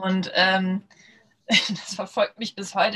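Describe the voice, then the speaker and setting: Monotone, flat intonation at a fairly slow pace. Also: woman. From Lower Saxony, northern Germany. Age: 30s. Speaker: startup founder. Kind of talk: podcast interview. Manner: many filler sounds (ähm, äh).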